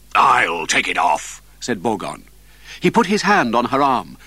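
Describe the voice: Someone reads the text aloud in a plain way.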